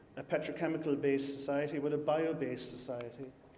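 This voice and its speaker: Speaking very fast, a man with an Irish accent keeps his fairly high pitch fairly even. Audible room echo surrounds his voice. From Ireland. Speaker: scientist and company founder. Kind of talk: conference talk.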